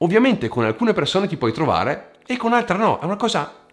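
A man's voice with very wide pitch swings. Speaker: YouTuber on psychology and personal growth. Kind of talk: vlog monologue to camera. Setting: at home. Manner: fluent here, edited cuts.

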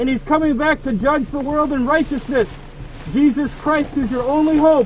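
A man's extremely high voice at a moderate pace, fairly even in intonation, dry with no echo, over light background noise. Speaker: street preacher. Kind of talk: open-air sermon. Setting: inside a car, projected outdoors. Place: car. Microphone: phone near.

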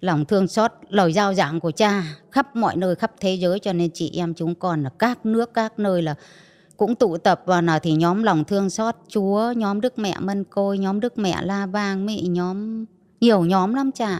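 A woman talks at a fairly slow pace in a plain, everyday voice of medium pitch, with a dry, close sound, no echo, and a very clean recording with a silent background. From northern Vietnam, Bắc Giang. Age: 50s. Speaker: trafficking survivor. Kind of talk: testimony.

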